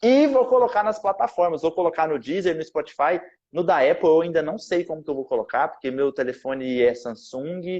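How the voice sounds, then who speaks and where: A man with a Goiás accent, high pitch, lively intonation, and a moderate pace. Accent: Goiás accent with strong retroflex R. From Goiás, Brazil. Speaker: podcast host, math teacher. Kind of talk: casual chat.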